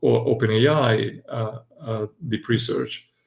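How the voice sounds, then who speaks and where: A man's medium-pitched voice comes across somewhat breathy. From Italy. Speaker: AI and future-of-work commentator. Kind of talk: casual panel discussion. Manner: halting with frequent fillers.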